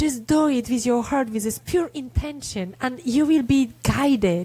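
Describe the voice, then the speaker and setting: This woman speaks with a Polish accent and a high pitch. Her tone is dark and mellow, her pitch varies an ordinary amount, and her pace is fairly slow. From Poland. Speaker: resilience speaker and author. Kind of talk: casual interview chat. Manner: emotional, heartfelt.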